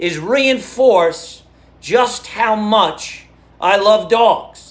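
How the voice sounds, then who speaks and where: Over noticeable background noise, the speaker goes at a very slow pace with lively intonation. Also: man, high pitch for a man. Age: 60s. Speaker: comedian. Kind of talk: stand-up.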